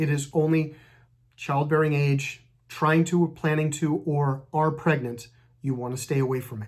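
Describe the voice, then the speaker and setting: On a very clean recording with nothing audible behind it, the words come at a moderate pace. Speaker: allergy doctor. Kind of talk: medical advice video.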